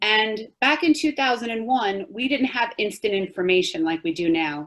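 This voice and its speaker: A woman with a New York accent speaks at a moderate pace. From Long Island, New York. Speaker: 9/11 survivor giving a talk. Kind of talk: testimony.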